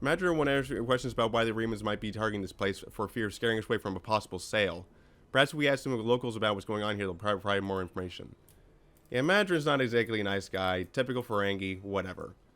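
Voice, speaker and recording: A man talks at a very fast pace. His voice is fairly low in pitch, with ordinary pitch variation. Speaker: gaming video creator. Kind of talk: let's play commentary. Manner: casual, rambling.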